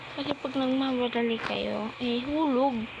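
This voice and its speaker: The speech is quiet and comes at a fairly slow pace. Noticeable background noise and audible room echo are present. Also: woman. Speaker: vlogger playing a stacking game. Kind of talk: casual gaming vlog. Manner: quiet, lowered voice.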